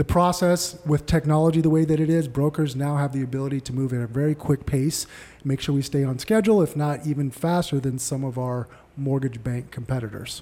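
The speaker has a plain, everyday voice with an American accent. The pace is fairly quick, with ordinary pitch variation. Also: man, fairly high pitch for a man. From Arizona, Tempe. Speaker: mortgage broker. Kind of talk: casual chat.

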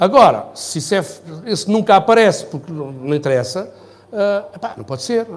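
With lively intonation, a man delivers his words at a fairly quick pace. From Portugal, Algarve (Faro). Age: 60s. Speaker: architect and mayoral candidate. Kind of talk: interview.

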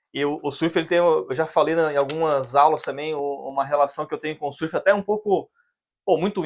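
Over a quiet background, a man talks at a fairly quick pace in an ordinary speaking voice, fairly high in pitch, with fairly even intonation. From Brazil, Criciúma, Santa Catarina. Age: 30s. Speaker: oceanographer. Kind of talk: casual chat.

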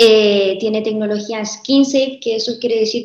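Her fairly high voice holds a monotone, flat intonation as the woman speaks. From Chile. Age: 20s. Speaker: entrepreneur. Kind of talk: interview.

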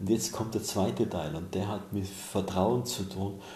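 A man speaks with a very deep, low pitch at a fairly slow pace. Audible room echo and noticeable background noise fill the recording. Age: 60s. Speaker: author and mentor. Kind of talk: interview.

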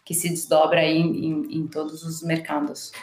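Her voice fairly low, a woman speaks at a fairly slow pace. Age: 40s. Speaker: marketing executive. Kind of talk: interview.

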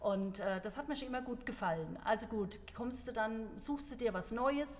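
Noticeable background noise sits behind a woman whose fairly high voice moves at a moderate pace with ordinary pitch variation. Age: 40s. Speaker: CrossFit gym member and ultrarunner. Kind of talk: casual chat. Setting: studio, seated at a table.

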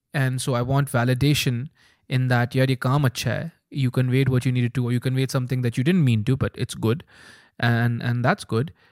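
Here is a man with an unremarkable speaking voice, a medium pitch and fairly even intonation. He goes at a fairly quick pace in a dry, close sound with no echo. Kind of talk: casual chat. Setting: studio.

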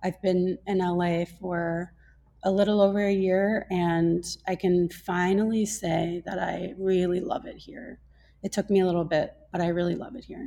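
Her voice sits at a medium pitch with a dark, mellow tone, and this woman keeps her intonation fairly even. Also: moderate pace, big swings in loudness. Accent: American. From US Midwest, Minnesota. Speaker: holistic nutrition practitioner. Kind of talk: casual interview conversation.

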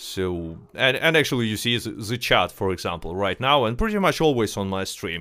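Lively intonation in a non-native accent, a fairly quick pace with hardly any pauses, and a very clean recording with a silent background. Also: man, fairly low pitch for a man. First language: not English. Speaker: podcast host. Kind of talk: casual chat. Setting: live stream while gaming. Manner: halting.

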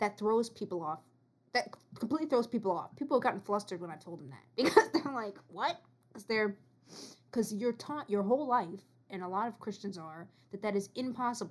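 A woman with a plain, everyday voice talks at a fairly quick pace in a fairly high pitch, her intonation lively and her loudness swinging widely. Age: 20s. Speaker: returning podcast guest, student. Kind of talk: casual chat.

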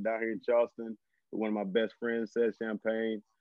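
This man has a medium pitch and speaks with a Southern US accent. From northern Louisiana. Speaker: high school football coach. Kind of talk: casual interview.

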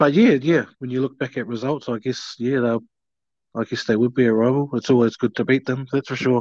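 Against a quiet background, a man talks at a fairly quick pace with a medium pitch and fairly even intonation, the sound dry and close with no echo. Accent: New Zealand. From New Zealand, Taranaki. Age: 30s. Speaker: rugby league player. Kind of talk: casual chat.

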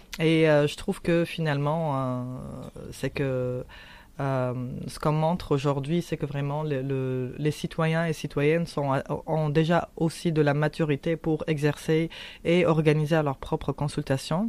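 A woman speaks with a very deep, low pitch. Her intonation is monotone and flat, and her pace is very slow. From Tunisia. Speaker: anti-racism activist. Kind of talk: interview. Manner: halting.

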